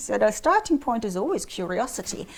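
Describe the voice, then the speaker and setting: Someone with a German accent talks at a fairly quick pace amid noticeable background noise. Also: woman. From Bavaria, Germany. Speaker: psychic medium. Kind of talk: podcast interview. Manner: halting.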